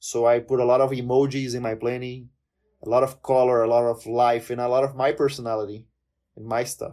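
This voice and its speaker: Speaking with a Portuguese accent, a man goes at a fairly quick pace with a medium pitch, a dark, mellow tone and monotone, flat intonation. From Brazil. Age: 20s. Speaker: language content creator and polyglot. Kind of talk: casual interview chat.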